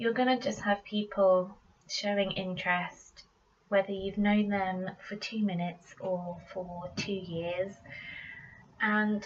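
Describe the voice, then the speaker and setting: At a very slow pace, a woman talks with a British accent. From Britain. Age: 20s. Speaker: tarot reader. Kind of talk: casual tarot reading to camera. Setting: home recording, poor microphone.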